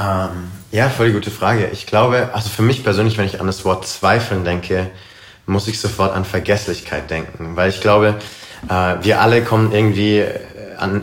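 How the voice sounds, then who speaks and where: A man with a fairly low voice speaks at a moderate pace with fairly even intonation. Room echo is audible, and there is noticeable background noise. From Karlsruhe, southwestern Germany. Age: 20s. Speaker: missionary and worship leader. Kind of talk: casual interview. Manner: hesitant, many fillers.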